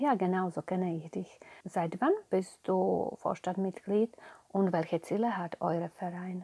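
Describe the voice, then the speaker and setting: A woman with a Slovak accent speaks fairly slowly in a dark, mellow, medium-pitched voice with ordinary pitch variation. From Slovakia. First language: Slovak (speaking German). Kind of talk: interview.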